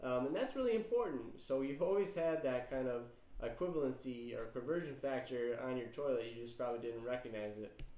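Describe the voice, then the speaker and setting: A man with a dark, mellow tone and ordinary pitch variation, in audible room echo. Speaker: chemistry teacher. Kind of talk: lecture. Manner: casual, many filler words.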